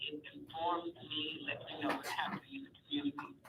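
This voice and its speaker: Noticeable background noise around a female voice with an American accent. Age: 70s. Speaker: caller. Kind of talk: radio call-in.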